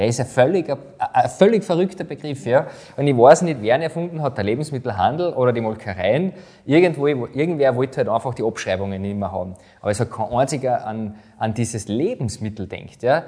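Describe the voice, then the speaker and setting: With a dark, mellow tone, a man speaks at a medium pitch and with lively intonation. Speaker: podcast host. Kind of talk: podcast interview.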